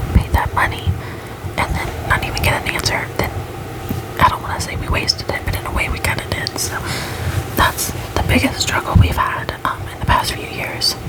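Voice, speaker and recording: A woman is whispering at a moderate pace with long, frequent pauses, over noticeable background noise. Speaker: ASMR creator. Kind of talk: ASMR life update talk. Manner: whispered, close to the mic.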